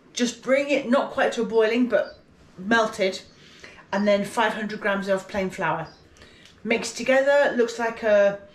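A woman speaks with ordinary pitch variation. Room echo can be heard. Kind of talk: tutorial. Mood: relaxed, chatty. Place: kitchen. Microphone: phone near.

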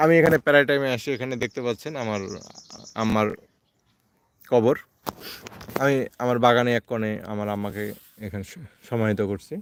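In a dry, close sound with no echo, a man with a plain, everyday voice speaks in a medium pitch with ordinary pitch variation. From Bangladesh, Thakurgaon. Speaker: incubator maker and seller. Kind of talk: casual vlog monologue. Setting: outdoors in a garden.

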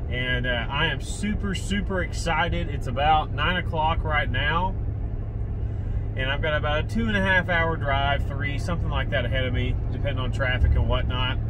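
Moderate-paced male speech against noticeable background noise. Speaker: fishing vlogger. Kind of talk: casual vlog chat. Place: car. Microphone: phone near.

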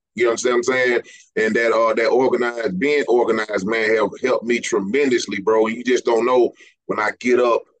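A man's fairly quick speech comes through over a quiet background. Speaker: podcast host. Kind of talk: interview. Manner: animated. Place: home room. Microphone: studio mic.

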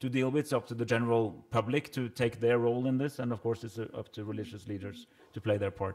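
A man with a Norwegian accent talks at a fairly quick pace and with fairly even intonation against a quiet background. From Norway. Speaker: government minister. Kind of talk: panel discussion. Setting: stage with audience. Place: hall. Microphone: podium.

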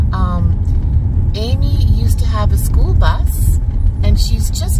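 The sound is dry with no echo, while loud background noise runs underneath. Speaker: travel vlogger. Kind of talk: casual vlog chat. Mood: relaxed, warm. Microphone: phone near.

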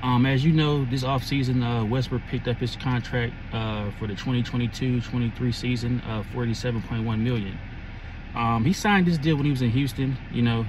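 In a dry sound with no echo and noticeable background noise, a man keeps a moderate pace and fairly even intonation. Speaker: sports fan vlogger. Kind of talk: casual vlog chat. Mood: relaxed, conversational. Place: car. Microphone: phone near.

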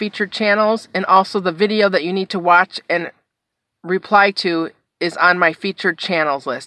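Recorded with a dry sound and no echo against a quiet background, a woman talks at a moderate pace with ordinary pitch variation. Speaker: haul vlogger. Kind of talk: casual vlog chat. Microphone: phone near.

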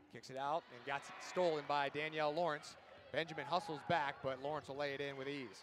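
An animated, excited man talks at a fairly quick pace, his pitch fairly high with ordinary variation. Noticeable background noise runs under his voice. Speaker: sports play-by-play announcer. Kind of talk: live sports commentary, highlight reel play-by-play. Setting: basketball arena broadcast. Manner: fast, animated, excited; rapid-fire, high-energy calls.

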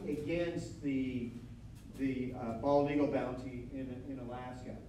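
Light background noise and audible room echo surround a man with an American accent. His pitch is fairly high and his pace fairly slow. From north central Florida. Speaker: historian and author; guest lecturer. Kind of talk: lecture. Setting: studio with live audience. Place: hall.

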